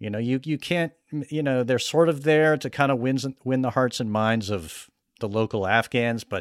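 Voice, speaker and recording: A plain, everyday voice carries lively intonation. The recording is very clean with a silent background. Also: man. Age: 40s. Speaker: podcast host, magazine journalist. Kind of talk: interview; casual chat.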